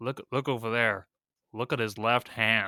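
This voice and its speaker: A man puts on a character voice in an American accent. His pitch is medium and his intonation fairly even. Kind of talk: exaggerated, stereotyped.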